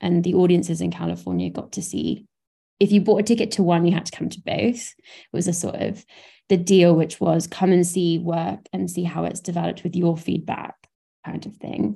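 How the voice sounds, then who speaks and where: A woman with a southern English accent, fairly low pitched and dark, mellow in tone, with vocal fry, fairly even intonation and a moderate pace. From southern England, Brighton. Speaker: theatre director and producer. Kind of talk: interview conversation.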